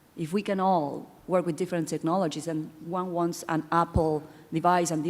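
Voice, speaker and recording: A woman with a non-native accent speaks at a fairly low pitch and moderate pace, her intonation monotone and flat. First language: not English. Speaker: audience member asking a question. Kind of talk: audience question.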